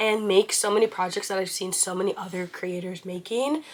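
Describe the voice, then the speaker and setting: Amid noticeable background noise, a woman with a medium pitch talks at a moderate pace in an animated tone. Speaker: crochet small business owner and vlogger. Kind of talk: casual vlog.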